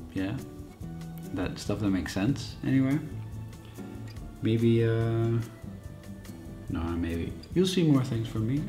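A man mumbles at a very slow pace, with long, frequent pauses. His intonation is lively, and music plays clearly in the background. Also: medium pitch for a man. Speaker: photographer; vlogger. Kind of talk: casual talk to camera. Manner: mumbling, hesitant. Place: home room. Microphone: phone near.

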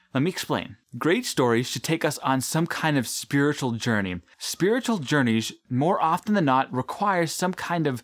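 Against a quiet background, a man talks at a moderate pace with very wide pitch swings. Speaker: video essay host. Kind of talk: commentary. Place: studio.

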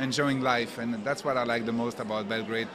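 Background noise is noticeable. The pitch varies in an ordinary way. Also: man. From Belgium. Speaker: art collector. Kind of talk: interview. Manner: halting. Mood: friendly, appreciative. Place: hall. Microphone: handheld.

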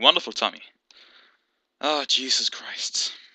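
A man speaks at a moderate pace with a bright, sharp tone. The sound is dry and close, with no echo. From Denmark. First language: Danish. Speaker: gaming YouTuber. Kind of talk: gameplay commentary. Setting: home gaming setup, headset. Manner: animated; halting.

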